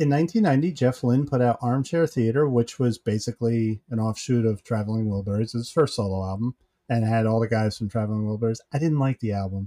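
A man at a medium pitch talks at a very fast pace with hardly any pauses, his dark, mellow tone carrying ordinary pitch variation in a dry, close sound with no echo. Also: quiet background. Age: 50s. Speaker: podcast co-host. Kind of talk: casual chat.

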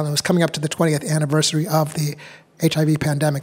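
A man speaks in a normal speaking voice with an American accent. His pitch is fairly high and his pace fairly quick. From New Hampshire, US. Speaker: actor. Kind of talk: interview.

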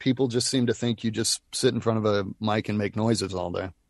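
A man speaks in a plain, everyday voice at medium pitch and a fairly quick pace. His intonation stays fairly even, and the sound is dry and close with no echo. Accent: American. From US South, Nashville. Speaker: voice actor. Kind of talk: casual chat.

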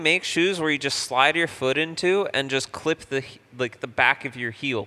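An ordinary speaking voice from a man, fairly high-pitched, with lively intonation at a moderate pace. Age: 20s. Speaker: podcast co-host. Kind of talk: casual chat.

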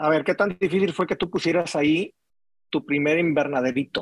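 Recorded dry and close with no echo, a man with a fairly high pitch talks at a moderate pace with ordinary pitch variation. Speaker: podcast host. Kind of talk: interview. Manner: casual, animated.

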